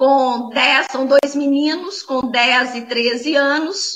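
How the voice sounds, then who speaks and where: High-pitched woman's voice with a Minas Gerais accent, bright and sharp in tone, with lively intonation at a very slow pace. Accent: Brazilian Portuguese, mineiro. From Brazil, Minas Gerais (Belo Horizonte). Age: 40s. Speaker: online conference speaker. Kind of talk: talk. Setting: online talk. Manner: halting, with many fillers.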